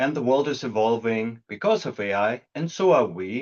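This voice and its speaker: A man speaks with a German accent at a moderate pace. His intonation is lively. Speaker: product executive. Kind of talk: webinar presentation.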